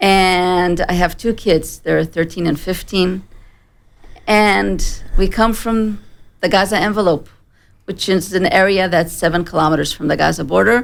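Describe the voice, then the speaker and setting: In an American accent, a woman speaks at a fairly slow pace with a medium pitch and vocal fry. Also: fairly even intonation. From Israel. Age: 40s. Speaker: terror attack survivor, former farmer. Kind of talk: testimony. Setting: studio.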